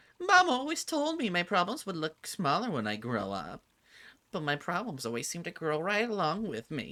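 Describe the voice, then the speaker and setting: In a gruff, put-on character voice, a man speaks at a high pitch with very wide pitch swings and a moderate pace, in a very clean recording with a silent background. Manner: muttering.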